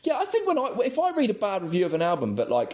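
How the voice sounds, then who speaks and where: With an English accent, a man speaks in a dark, mellow tone with vocal fry and very wide pitch swings. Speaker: metal podcast co-host. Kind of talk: casual chat.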